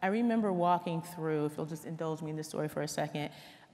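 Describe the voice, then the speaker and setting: A woman talks with an American accent. Her pitch is fairly low, with ordinary variation. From New Jersey, US. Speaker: corporate leader, panelist. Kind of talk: panel discussion.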